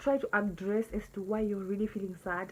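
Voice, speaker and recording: A woman at a moderate pace, somewhat breathy. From Zimbabwe. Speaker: vlogger. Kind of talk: casual monologue vlog.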